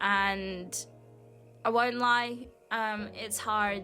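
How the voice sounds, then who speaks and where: Music in the background beneath a woman's voice at a medium pitch. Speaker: mixed media artist. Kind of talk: casual talk to camera.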